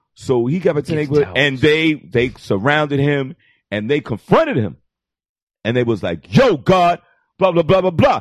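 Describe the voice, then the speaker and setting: A man with a fairly high pitch and a New York accent, long, frequent pauses, and a dry, close sound with no echo against a quiet background. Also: lively intonation, moderate pace. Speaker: comedy podcast guest. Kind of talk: casual chat. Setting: studio with live internet audience.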